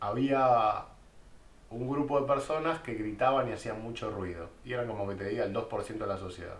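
Over noticeable background noise and audible room echo, a man with a Buenos Aires accent speaks at a moderate pace and medium pitch with ordinary pitch variation. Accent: Rioplatense Spanish (Buenos Aires). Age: 20s. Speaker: podcast co-host. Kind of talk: casual chat.

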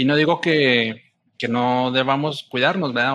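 The speaker is a man with a medium pitch. His intonation stays monotone and flat. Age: 30s. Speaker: podcast host. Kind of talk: casual interview. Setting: remote call. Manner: halting, repeats words.

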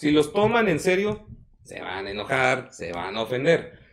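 A fairly high-pitched man at a very slow pace. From Mexico, Puebla. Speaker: podcast host. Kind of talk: casual chat.

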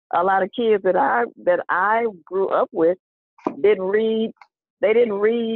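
A woman talks with an American accent. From Texas, Waco. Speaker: retired teacher and children's author. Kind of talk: interview conversation. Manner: animated.

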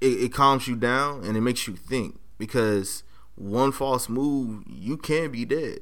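A man with an American accent, medium pitch, ordinary pitch variation and a very slow pace. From Los Angeles, South Central. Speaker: hip hop artist and spoken word poet. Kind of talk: casual interview chat.

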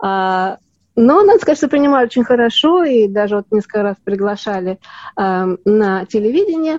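Fairly high-pitched woman with an unremarkable speaking voice, lively intonation and a dry, close sound with no echo. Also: moderate pace. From Soviet Union. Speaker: actress. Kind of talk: interview.

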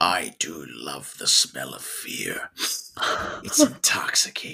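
Whispering in a put-on character voice, a man talks at a fairly slow pace. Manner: menacing.

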